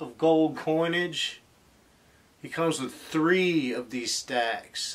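The man speaks very slowly. His pitch varies in an ordinary way. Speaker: collector reviewing an action figure. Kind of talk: casual toy review. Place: home room.

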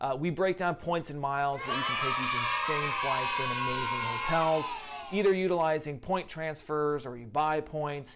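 The man's delivery moves at a moderate pace. Behind him, background noise is loud. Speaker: travel vlogger. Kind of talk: casual vlog chat. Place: home room. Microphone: lapel.

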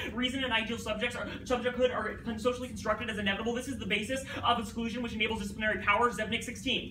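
Against noticeable background noise, a man with an extremely high pitch uses a raised, projected voice, racing along very fast with hardly any pauses and monotone, flat intonation. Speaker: high school debater. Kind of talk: competitive debate speech. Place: classroom. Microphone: camera far.

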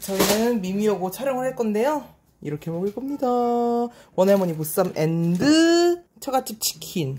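Over light background noise, a woman speaks at a fairly slow pace with very wide pitch swings. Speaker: vlogger. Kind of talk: casual vlog chat.

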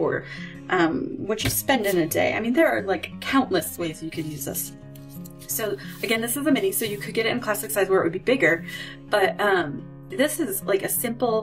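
Music sounds clearly behind the speech. The woman's delivery is fairly quick. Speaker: planner reviewer. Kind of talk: casual product walkthrough.

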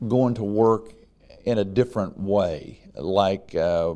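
At a fairly slow pace, a man with a fairly low pitch speaks in a dark, mellow tone with ordinary pitch variation. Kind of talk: interview answer. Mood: concerned, measured. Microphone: lapel.

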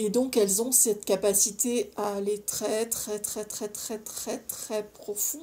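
A woman speaks at a very slow pace and a medium pitch. Her intonation stays fairly even. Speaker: video blogger on personal development and spirituality; video blogger on personal development. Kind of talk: casual solo monologue to camera, sharing personal experience; casual vlog chat. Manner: informal, chatty, hesitant with many fillers. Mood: calm, earnest, reflective. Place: home room. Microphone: phone near.

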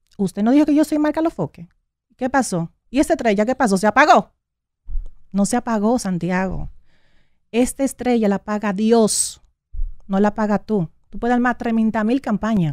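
Against a quiet background with a dry sound and no echo, a woman speaks at a moderate pace and a fairly high pitch with lively intonation and long, frequent pauses. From Dominican Republic, Santo Domingo area. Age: 30s. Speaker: radio host. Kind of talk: on-air personal statement; emotional talk show statement. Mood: hurt, indignant, confrontational. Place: studio. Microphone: studio mic.

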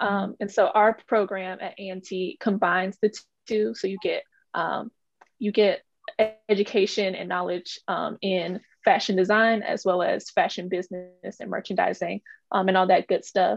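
With an American accent and vocal fry, a woman talks at a moderate pace with fairly even intonation in a dry, close sound with no echo. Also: medium pitch for a woman.

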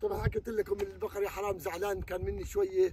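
A man talks at a fairly quick pace, the sound dry with no echo. Light background noise can be heard. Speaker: farmer vlogger. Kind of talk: casual vlog chat. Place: farm machine. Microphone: camera far.

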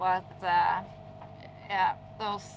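Noticeable background noise runs through the clip. A woman speaks very slowly. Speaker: sailing vlogger. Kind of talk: casual vlog chat. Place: boat. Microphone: phone near.

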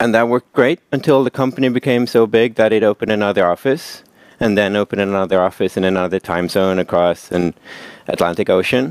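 This man talks at a very fast pace with a fairly low pitch and ordinary pitch variation. The sound is dry with no echo, and the background is quiet. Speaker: presenter. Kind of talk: conference talk. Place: meeting room.

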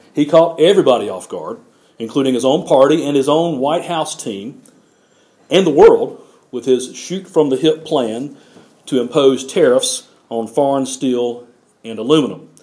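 A man with a North Carolina accent, fairly high pitch, moderate pace and big swings in loudness. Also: ordinary pitch variation. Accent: US Southern, North Carolina. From rural North Carolina, Richmond County. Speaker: party chairman. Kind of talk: press conference statement. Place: home room. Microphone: podium.

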